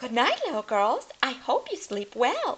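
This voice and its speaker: A female-sounding voice puts on a character at a high pitch. The tone is warm and the pace moderate. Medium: read story. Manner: warm, motherly.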